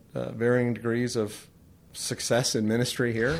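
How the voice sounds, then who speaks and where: Speaking at a moderate pace, a man uses a medium-pitched voice. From California (Tehachapi). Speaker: pastor. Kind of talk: interview.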